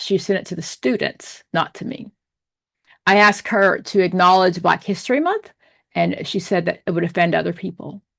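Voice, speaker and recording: Against a quiet background, a woman with vocal fry speaks at a moderate pace and a medium pitch. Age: 60s. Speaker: social work professor. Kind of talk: lecture.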